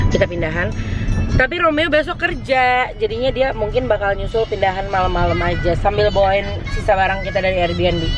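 Delivered at a very fast pace, the voice sounds dry with no echo, and clear music plays in the background. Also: woman. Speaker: vlogger. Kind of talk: casual vlog chat. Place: car. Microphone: phone near.

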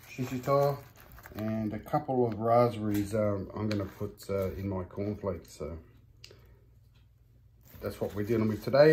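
A man's fairly low voice at a fairly slow pace, with ordinary pitch variation and light background noise. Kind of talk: casual vlog chat. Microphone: phone near.

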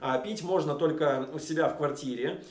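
Room echo is audible around a man's voice. He keeps a moderate pace with ordinary pitch variation. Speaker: vlogger. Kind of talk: casual vlog talk to camera. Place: home room.

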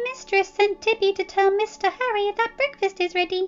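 A woman's squeaky, put-on character voice, extremely high in pitch, at a moderate pace. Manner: eager, servile.

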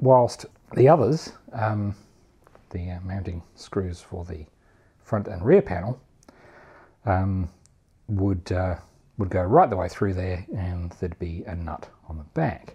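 The voice has a dark, mellow tone with a slightly husky edge, moving at a slow pace with ordinary pitch variation and long, frequent pauses. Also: man, low pitch for a man.

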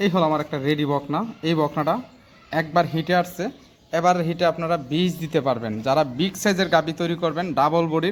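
A man with an ordinary speaking voice speaks at a fairly high pitch with fairly even intonation. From Bangladesh, Cumilla (Debidwar). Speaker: dairy farmer and heifer seller. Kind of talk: sales pitch.

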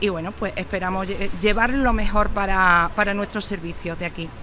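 Over light background noise, a woman speaks at a medium pitch with a bright, sharp tone and fairly even intonation. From Spain, Córdoba province (Andalusia). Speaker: care home manager. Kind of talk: interview. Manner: halting, with frequent repetitions and fillers. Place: street. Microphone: phone near.

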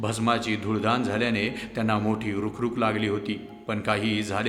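An unforced reading voice carries the whole clip.

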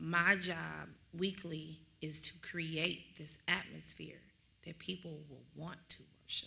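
A woman with an American accent talks at a very slow pace. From Dallas area, Texas; Texas. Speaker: minister; minister in discussion. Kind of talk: bible study discussion. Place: church. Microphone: studio mic.

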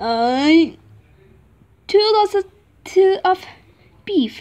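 A woman uses a cartoonish character voice at an extremely high pitch, speaking very slowly with lively intonation and a slightly mellow tone.

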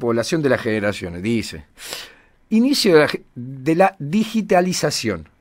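Very wide pitch swings from a man with a fairly high pitch, on a very clean recording against a silent background. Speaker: community radio host. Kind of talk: casual radio chat.

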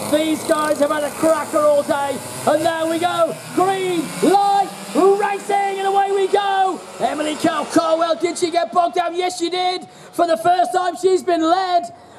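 The speech moves at a fairly slow pace. Noticeable background noise runs underneath. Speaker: race commentator. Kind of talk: commentary. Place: stadium.

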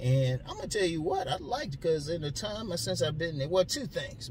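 The man's voice sounds dry with no echo, though noticeable background noise is present. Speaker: vlogger. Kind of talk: casual vlog chat. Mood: relaxed, joking, laughing. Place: car. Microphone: phone near.

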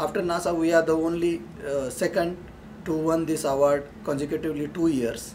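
Over light background noise, a man with a Marathi Indian accent speaks fairly quickly at a fairly high pitch with fairly even intonation. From Maharashtra, India. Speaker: engineering consultant. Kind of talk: alumni testimonial. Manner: hesitant, many fillers. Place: meeting room. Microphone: camera far.

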